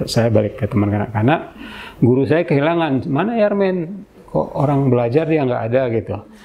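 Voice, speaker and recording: Here a man talks with a fairly high pitch. His pitch swings very widely. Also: fairly quick pace. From Indonesia, Aceh Singkil. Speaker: senior journalist. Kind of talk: interview, life story.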